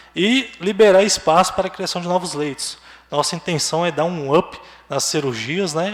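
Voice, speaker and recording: There is noticeable background noise behind a man. He speaks at a moderate pace with ordinary pitch variation. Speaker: hospital administrative director. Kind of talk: public meeting presentation.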